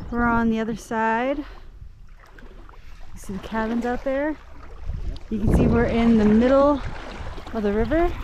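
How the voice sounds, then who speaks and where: A woman talks at a moderate pace and a fairly high pitch, leaving long, frequent pauses. Noticeable background noise and audible room echo fill the recording. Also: ordinary pitch variation. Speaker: daughter on a fishing trip. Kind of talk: casual chat. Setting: outdoors.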